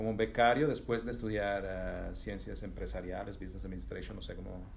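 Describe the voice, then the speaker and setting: Audible room echo fills the space. In it, a man talks at a fairly quick pace. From Italy. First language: Italian (speaking Spanish). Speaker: business executive. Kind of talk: interview. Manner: halting, many repetitions.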